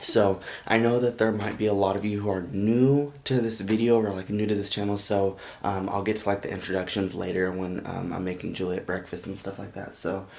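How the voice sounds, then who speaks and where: Quietly and at a fairly quick pace, a man talks with fairly even intonation and a fairly low pitch. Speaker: vlogger, young father. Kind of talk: casual vlog. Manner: quiet, talking low.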